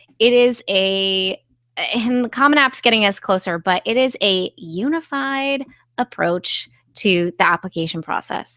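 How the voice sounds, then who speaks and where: A woman speaks at a fairly slow pace with lively intonation, a bright, sharp tone and medium pitch, recorded with a dry, close sound and no echo. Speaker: test prep tutor hosting live Q&A. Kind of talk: live online Q&A. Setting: live video stream.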